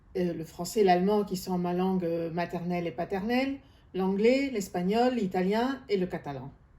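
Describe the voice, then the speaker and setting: With a dark, mellow tone at medium pitch, a woman talks at a fairly slow pace with lively intonation. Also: long, frequent pauses. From third culture kid, grew up abroad. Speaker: gestalt therapist. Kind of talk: self-introduction. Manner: halting, many hesitations.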